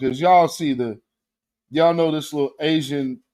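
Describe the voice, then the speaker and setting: A man talks in an American accent with fairly even intonation. Music plays in the background. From US West Coast. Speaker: political commentary streamer. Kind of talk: casual livestream commentary. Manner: halting, repeats words.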